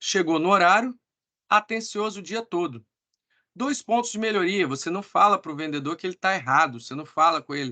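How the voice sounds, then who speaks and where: A man's raised, projected voice, high-pitched, with a bright, sharp tone, lively intonation and a fairly quick pace, dry and close with no echo against a quiet background. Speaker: sales team trainer. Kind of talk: online training meeting.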